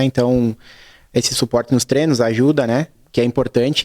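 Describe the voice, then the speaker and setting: The man's medium-pitched voice keeps a fairly even intonation, recorded dry and close with no echo. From southern Brazil, Serra Gaúcha (Flores da Cunha). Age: 30s. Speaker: assistant football coach. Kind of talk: TV interview.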